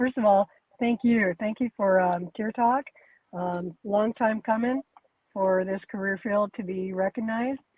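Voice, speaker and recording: She has a normal speaking voice, pitched fairly high for a woman. Her pace is moderate. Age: 60s. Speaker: retired corrections officer. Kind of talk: casual interview chat.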